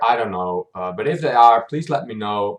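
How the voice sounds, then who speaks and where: The man here talks at a fairly quick pace. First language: not English. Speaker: YouTube reactor. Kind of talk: casual recap monologue. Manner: hesitant, many fillers.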